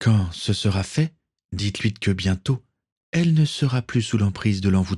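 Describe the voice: Quiet background behind plain reading aloud, intonation lively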